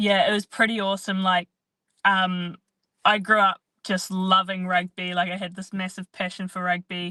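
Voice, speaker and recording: This voice has a New Zealand accent, a bright, sharp tone, and monotone, flat intonation with big swings in loudness. The sound is dry and close with no echo over a quiet background. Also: woman, medium pitch for a woman, moderate pace. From New Zealand, rural Canterbury. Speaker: professional athlete. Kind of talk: interview.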